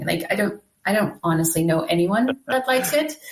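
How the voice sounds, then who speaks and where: A woman with a Dutch accent at a moderate pace. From Netherlands. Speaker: free software advocate. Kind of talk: podcast interview.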